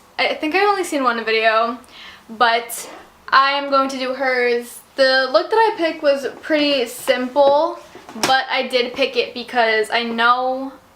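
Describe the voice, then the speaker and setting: High-pitched woman's voice at a fairly slow pace, ordinary pitch variation, noticeable background noise. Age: young. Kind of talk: casual talk to camera.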